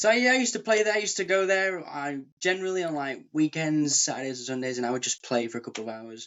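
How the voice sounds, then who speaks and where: With a Lancashire accent, a man speaks at a very fast pace in a fairly high pitch, his pitch swinging very widely and hardly any pauses breaking his speech. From Preston, Lancashire, northern England. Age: 30s. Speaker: session bass player and busker. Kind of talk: casual interview chat.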